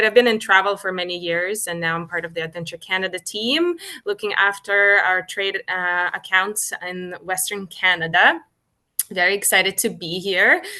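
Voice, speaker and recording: With a Ukrainian accent, a woman speaks in a bright, sharp tone with fairly even intonation. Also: medium pitch for a woman, moderate pace. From Ukraine. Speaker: cruise line business development manager. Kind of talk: webinar introduction. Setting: hotel room, video call.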